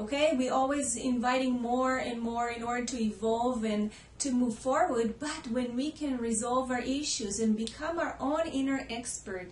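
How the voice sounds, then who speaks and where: A woman's high-pitched voice with an Israeli accent, moderate pace and fairly even intonation, plus audible room echo. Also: hardly any pauses. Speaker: holistic healer. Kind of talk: personal story to camera.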